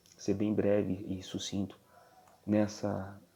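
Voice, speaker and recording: A quiet, dark, mellow male voice, fairly low in pitch, with monotone, flat intonation. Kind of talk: religious commentary. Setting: at home.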